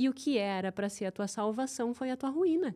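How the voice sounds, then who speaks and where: Speaking at a moderate pace in a southern Brazilian accent, a woman with a high pitch uses lively intonation and has a dark, mellow tone. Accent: gaúcho accent, kept. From southern Brazil, Rio Grande do Sul (Santa Maria). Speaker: behavioral finance specialist and CFO. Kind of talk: podcast interview.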